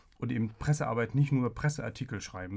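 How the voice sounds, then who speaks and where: On a very clean recording with a silent background, a man of medium pitch speaks at a moderate pace in a somewhat breathy voice with ordinary pitch variation. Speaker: agency press spokesman. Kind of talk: interview.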